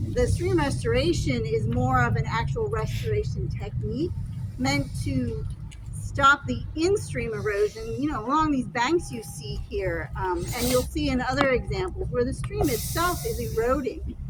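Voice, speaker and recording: The speech moves at a moderate pace, with noticeable background noise and audible room echo. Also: woman. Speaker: county stormwater restoration official. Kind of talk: outdoor field trip explanation. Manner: quiet.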